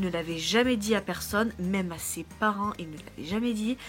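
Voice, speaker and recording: Over music in the background, a woman speaks at a medium pitch and a moderate pace. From France. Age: 20s. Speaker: au pair vlogger. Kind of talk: casual vlog.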